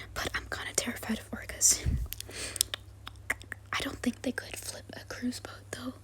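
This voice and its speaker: Whispering in a gentle tone with an American accent, a woman speaks fairly slowly over noticeable background noise. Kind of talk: ASMR soft-spoken travel vlog voice-over. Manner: soft-spoken, gentle.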